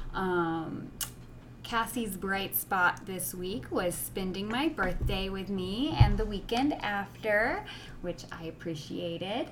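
Audible room echo surrounds a woman with a medium pitch. She speaks at a very slow pace with lively intonation. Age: 30s. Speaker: podcast co-host. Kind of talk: casual chat. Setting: recording the intro alone.

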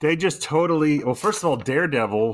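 Against a silent background on a very clean recording, a man talks fairly quickly in an unremarkable speaking voice with lively intonation. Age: 30s. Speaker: podcast co-host. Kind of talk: casual chat.

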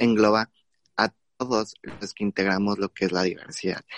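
In a dry, close sound with no echo, a man speaks at a fairly low pitch with monotone, flat intonation. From Guerrero, Mexico. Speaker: LGBT youth network regional director. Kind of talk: panel discussion.

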